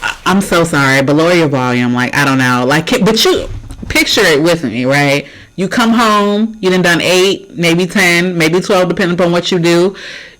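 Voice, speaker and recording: Over noticeable background noise, a woman speaks at a moderate pace with a fairly low pitch and very even loudness. Her tone is animated and her intonation lively. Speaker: reaction video host. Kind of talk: casual reaction commentary. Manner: loud, animated.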